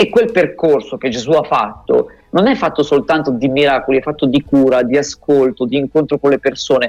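A man at a fairly high pitch and fairly quick pace, with ordinary pitch variation, very even loudness and a dry, close sound with no echo. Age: 40s. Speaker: pastor. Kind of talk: radio interview with storytelling reflection. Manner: hesitant, with fillers.

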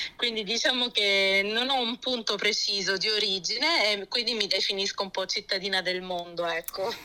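A woman at medium pitch talks at a moderate pace with ordinary pitch variation and hardly any pauses, over noticeable background noise. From born in Germany, Lecce family (Apulia), moved to Florence at 17. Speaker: pastor's wife and early-childhood educator. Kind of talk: radio interview testimony.

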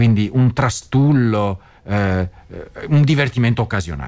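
In a Venetian accent, a man's voice makes very wide pitch swings. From Venice, Veneto. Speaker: radio host. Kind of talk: radio news commentary. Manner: casual with frequent hesitations.

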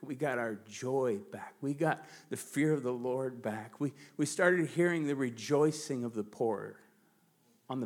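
With an American accent and a normal speaking voice, a man talks at a fairly slow pace with ordinary pitch variation. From United States. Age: 40s. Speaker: pastor. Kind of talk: sermon. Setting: church.

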